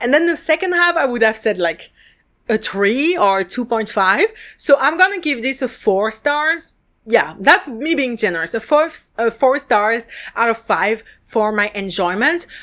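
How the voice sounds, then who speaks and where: In a very clean recording with a silent background, a woman with a French accent speaks at a fairly slow pace in a bright, sharp tone with very wide pitch swings. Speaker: podcast host and drama reviewer. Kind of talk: casual review monologue. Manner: casual, filler-heavy.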